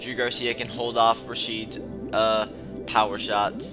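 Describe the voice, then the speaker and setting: Music plays behind a man as he talks. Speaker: fight sports commentator. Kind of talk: casual talk to camera.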